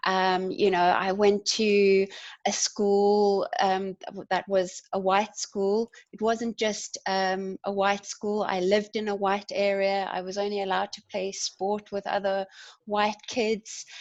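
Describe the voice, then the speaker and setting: Speaking very slowly with a South African accent, a woman keeps a medium pitch and a monotone, flat intonation. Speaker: community development worker and activist. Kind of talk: panel discussion.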